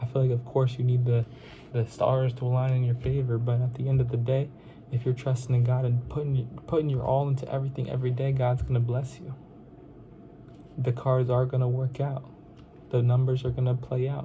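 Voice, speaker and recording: A man's mid-range voice moves fairly briskly, its intonation monotone and flat. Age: young adult, 19. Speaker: insurance sales vlogger. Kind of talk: casual motivational vlog. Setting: at parents' home. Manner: casual, repetitive filler phrases.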